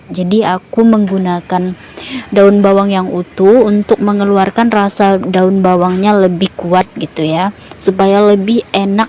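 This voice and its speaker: A woman talks with fairly even intonation. Noticeable noise sits behind her. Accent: non-native. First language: a regional language of Indonesia (speaking Indonesian). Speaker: cooking vlogger. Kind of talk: cooking tutorial. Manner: halting, many fillers.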